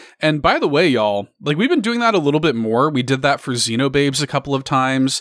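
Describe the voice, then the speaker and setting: The man speaks with a fairly high pitch. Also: dry, close sound with no echo. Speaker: podcast host. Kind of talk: casual chat. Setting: video call. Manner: animated.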